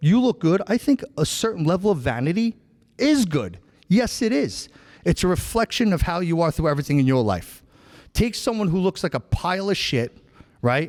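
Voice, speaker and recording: A man with a New York accent speaks at a moderate pace in a high, animated voice with very wide pitch swings and very even loudness, in a dry, close sound with no echo on a very clean recording with a silent background. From New York (Long Island). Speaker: podcast host. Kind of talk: casual chat.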